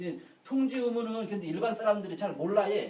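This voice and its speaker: A man's lively intonation, with audible room echo. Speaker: insurance lecturer. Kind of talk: lecture. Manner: fast.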